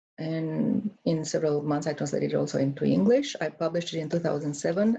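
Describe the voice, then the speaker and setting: Carrying a Romanian accent, the speaker moves at a fairly quick pace with a dark, mellow tone and vocal fry. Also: woman. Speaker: author. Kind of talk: book presentation. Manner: hesitant, many fillers.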